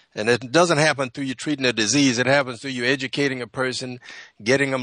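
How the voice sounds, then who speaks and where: A man with an American accent at a very fast pace, bright and sharp in tone, the sound dry and close with no echo, over a quiet background. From US South, South Carolina. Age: 70s. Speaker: naturopath. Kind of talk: radio panel discussion. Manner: halting, many repetitions.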